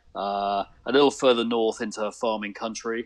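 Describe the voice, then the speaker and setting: Over a quiet background, a man with a British accent speaks at a fairly low pitch. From UK. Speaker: photographer. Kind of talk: casual interview.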